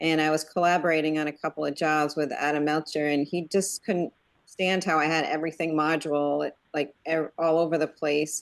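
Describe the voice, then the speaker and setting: A woman with a northeastern US accent speaks fairly quickly in a very deep, low voice, with flat, monotone intonation and very even loudness. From Connecticut, northeastern US. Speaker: web developer, user group organizer. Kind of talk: casual online meeting chat. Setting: video call.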